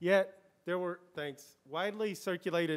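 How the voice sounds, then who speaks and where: A man at a moderate pace with ordinary pitch variation, over a quiet background. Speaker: academic panelist; panelist. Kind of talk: panel discussion. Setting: bookstore event with live audience. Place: shop. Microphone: podium.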